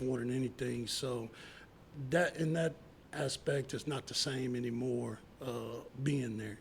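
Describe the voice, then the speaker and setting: A man with an American accent speaks at a medium pitch, somewhat breathy and fairly slow. His intonation is fairly even, and he leaves long, frequent pauses. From Texas Panhandle (Plainview). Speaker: former baseball player and youth coach. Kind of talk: interview. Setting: studio.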